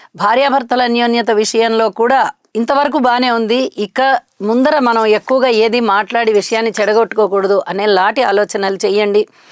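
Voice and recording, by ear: A woman's fairly high voice at a moderate pace, fairly even in intonation with few pauses, dry and close with no echo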